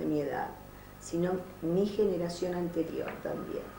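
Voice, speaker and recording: There is noticeable background noise behind this woman. She speaks in a Rioplatense accent at a fairly low pitch. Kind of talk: oral history interview answer.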